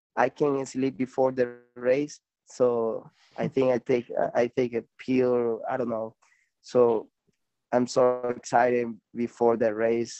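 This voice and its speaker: A man with a Spanish accent and monotone, flat intonation. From Venezuela. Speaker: professional BMX racer. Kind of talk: casual interview. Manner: halting.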